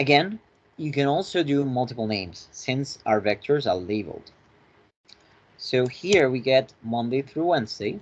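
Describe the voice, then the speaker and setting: With lively intonation and a moderate pace, a man talks in an ordinary speaking voice at a medium pitch. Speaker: finance tutorial instructor. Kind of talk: lecture.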